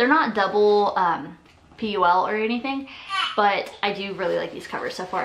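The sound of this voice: A woman talks at a moderate pace with ordinary pitch variation and a fairly bright tone. Audible room echo surrounds her voice.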